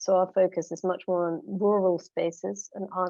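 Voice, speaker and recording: A woman with a London accent speaks at a medium pitch in a flat, monotone delivery. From London, England. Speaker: musician and curator. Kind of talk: conference presentation.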